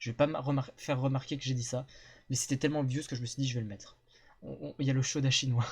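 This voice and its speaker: A man speaks very fast at a medium pitch, somewhat breathy. His intonation is monotone and flat. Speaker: streamer. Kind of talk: casual chat. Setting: live stream with guests.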